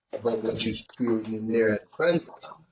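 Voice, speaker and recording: This man has a plain, everyday voice, moving at a moderate pace with ordinary pitch variation. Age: 50s. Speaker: re-entry program director, former prisoner. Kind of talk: casual interview chat.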